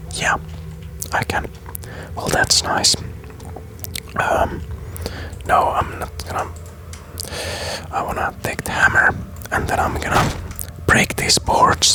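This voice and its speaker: A man whispering at a very slow pace, with long, frequent pauses and noticeable background noise. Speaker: gaming YouTuber. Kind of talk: ASMR let's play gaming commentary. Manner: casual, hesitant, thinking aloud.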